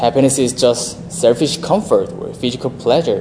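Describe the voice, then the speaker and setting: The speaker has a Korean accent, heard with noticeable background noise and audible room echo. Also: man. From South Korea. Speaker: seminarian preacher. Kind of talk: sermon.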